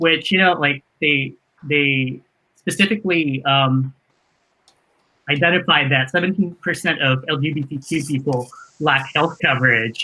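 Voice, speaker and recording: Bright and sharp in tone, a man talks at a fairly high pitch with long, frequent pauses. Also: ordinary pitch variation, fairly slow pace. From immigrant, grew up abroad. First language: not English. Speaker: tech worker, panel guest. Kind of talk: panel discussion. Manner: hesitant, many fillers.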